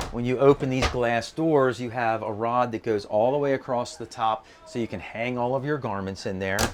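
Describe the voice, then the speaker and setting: There is noticeable background noise as a man talks. He keeps a moderate pace with ordinary pitch variation. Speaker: RV reviewer, YouTube host. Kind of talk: walkthrough tour. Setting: inside a travel trailer. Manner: casual, conversational.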